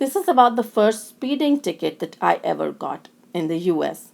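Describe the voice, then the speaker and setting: Speaking with a strong Indian accent, a woman uses a fairly high pitch and very wide pitch swings. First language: Indian language (not English). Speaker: lecturer in special education. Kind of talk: recorded lecture. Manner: halting, with self-corrections.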